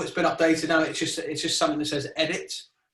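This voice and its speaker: Heard with audible room echo, a man speaks at a very fast pace. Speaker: video marketing trainer. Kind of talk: webinar presentation. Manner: mumbling.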